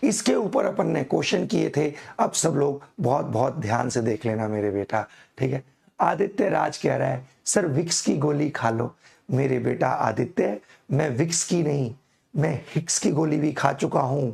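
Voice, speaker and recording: A man with a fairly high pitch and vocal fry speaks fairly slowly, his intonation lively and his loudness very even. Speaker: chemistry teacher. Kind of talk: online class lecture. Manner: slow, deliberate; animated, informal.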